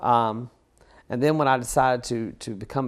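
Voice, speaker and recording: Speaking with a Southern US accent, a man shows ordinary pitch variation. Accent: Southern US (Georgia). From US South, Georgia. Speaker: photographer. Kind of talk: interview. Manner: halting, many fillers.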